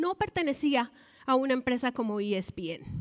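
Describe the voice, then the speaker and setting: A woman speaks with a northern Mexican accent at a high pitch. Her pace is moderate and her intonation lively. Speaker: baseball commentator, former sports reporter. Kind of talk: TEDx talk.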